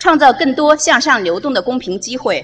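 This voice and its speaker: Very wide pitch swings at a fairly slow pace. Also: woman. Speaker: lecture host. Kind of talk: formal host introduction. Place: hall. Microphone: podium.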